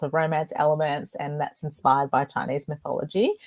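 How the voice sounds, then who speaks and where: A woman with a strong Australian accent talks at a very deep, low pitch, with a dry, close sound and no echo. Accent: broad Australian. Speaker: author. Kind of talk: interview.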